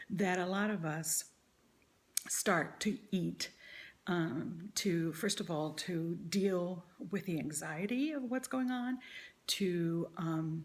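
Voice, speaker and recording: The delivery is very slow, broken by long, frequent pauses. The intonation stays lively throughout. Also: woman, fairly low pitch for a woman. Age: 60s. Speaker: vlogger sharing weight-loss surgery journey. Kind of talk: personal vlog monologue. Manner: hesitant, many fillers.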